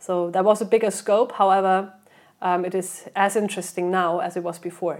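A woman with a German accent talks at a fairly quick pace and medium pitch. Her intonation is monotone and flat, on a very clean recording with a silent background. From Germany. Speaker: PR and marketing head. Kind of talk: interview.

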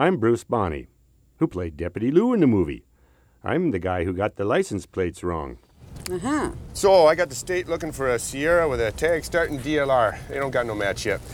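A man with a Minnesota accent speaks at a medium pitch with vocal fry and very wide pitch swings, captured in a very clean recording with a silent background. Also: moderate pace. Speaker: actor. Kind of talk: scripted narration.

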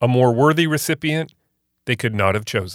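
Captured in a very clean recording with a silent background, a man speaks in a plain, everyday voice at medium pitch. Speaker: podcast host. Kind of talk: interview with scripted intro.

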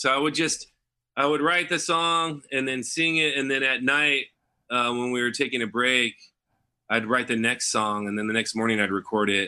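A man with an American accent and an ordinary speaking voice, medium in pitch, with ordinary pitch variation at a moderate pace over a quiet background. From Los Angeles, US. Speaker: singer-songwriter and musician.

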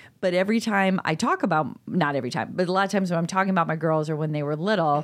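In a Chicago accent, a woman talks at a very fast pace with a fairly low pitch. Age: 50s. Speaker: podcast co-host. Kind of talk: casual chat.

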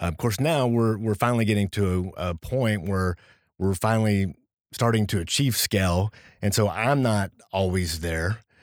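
On a very clean recording with a silent background, a man talks in a plain, everyday voice, fairly low in pitch with ordinary pitch variation. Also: moderate pace. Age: 40s. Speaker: entrepreneur and business strategist. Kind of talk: casual interview chat. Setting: studio.

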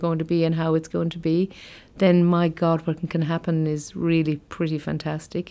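A woman with a Limerick accent talks at a fairly quick pace, her fairly low voice flat and monotone. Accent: Irish (Limerick). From Ireland, County Limerick. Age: 40s. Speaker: company managing director. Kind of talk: interview.

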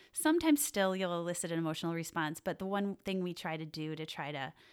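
An ordinary speaking voice from a woman with an American accent, fairly low-pitched with fairly even intonation, on a very clean recording with a silent background. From Wisconsin, US Midwest. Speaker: parenting educator. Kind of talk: podcast interview. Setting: studio.

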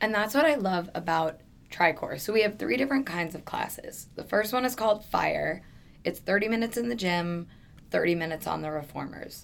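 A woman's unremarkable speaking voice at medium pitch, with an American accent, lively intonation and a fairly quick pace. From New York. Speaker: fitness trainer and Pilates teacher. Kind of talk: casual interview chat.

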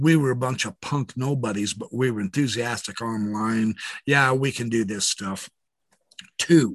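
A man with an unremarkable speaking voice talks at a fairly slow pace with lively intonation. The sound is dry and close, without echo. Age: 60s. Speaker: former religious apologist and online video maker. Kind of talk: casual interview. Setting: video call.

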